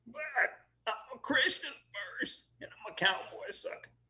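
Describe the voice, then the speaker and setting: The voice sounds strained, with an American accent. It moves at a moderate pace. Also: man. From Texas. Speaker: cowboy, former country singer. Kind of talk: interview. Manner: strained, effortful speech.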